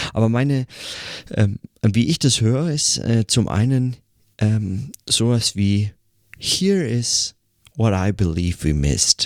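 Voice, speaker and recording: Recorded very cleanly with a silent background and a dry, close sound with no echo, a man of medium pitch speaks at a very slow pace with lively intonation, very even loudness and long, frequent pauses. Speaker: podcaster. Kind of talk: solo reflective monologue. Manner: hesitant, many fillers.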